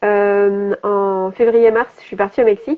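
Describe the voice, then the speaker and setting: A woman talks at a very slow pace. Her pitch is fairly high. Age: 30s. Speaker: health and business coach. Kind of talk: interview on live stream. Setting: Instagram live video. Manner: hesitant, many fillers.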